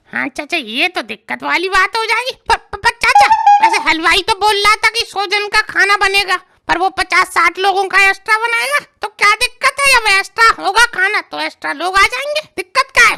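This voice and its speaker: A woman's cartoonish character voice, extremely high in pitch, at a fairly quick pace. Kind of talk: desi comic cartoon dialogue. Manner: eager, wheedling, easygoing.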